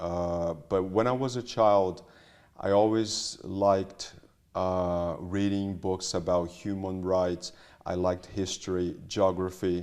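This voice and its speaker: Very slow in pace, a man speaks with a very deep, low pitch. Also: fairly even intonation. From Brazil. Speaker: solicitor. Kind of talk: interview. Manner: halting.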